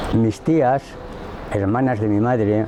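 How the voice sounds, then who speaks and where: A man speaks fairly low in pitch while noticeable background noise carries on behind him. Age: 60s. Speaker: witness to family history. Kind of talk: testimony. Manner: halting.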